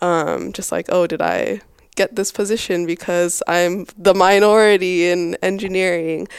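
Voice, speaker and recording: Her American accent comes through at a fairly slow pace as a woman speaks at medium pitch with monotone, flat intonation, the recording very clean and the background silent. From US, Boise, Idaho. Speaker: engineering student. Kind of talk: casual interview chat.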